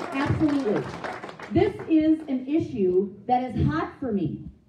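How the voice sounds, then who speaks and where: The voice swings very widely in pitch and has vocal fry. Its tone is dark and mellow, with audible room echo. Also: woman. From Minnesota, South Saint Paul. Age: 50s. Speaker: political candidate. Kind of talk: campaign speech. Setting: meeting with live audience. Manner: animated.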